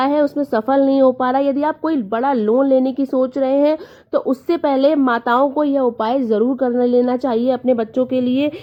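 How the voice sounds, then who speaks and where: A woman speaks with a high pitch. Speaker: devotional vlogger. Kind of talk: devotional tutorial.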